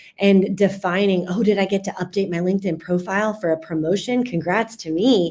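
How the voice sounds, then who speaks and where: A woman with an American accent speaks at a medium pitch and a moderate pace. Her tone is dark and mellow, with ordinary pitch variation. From US South, Central Florida. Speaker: customer experience speaker and author. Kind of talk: podcast interview. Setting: studio.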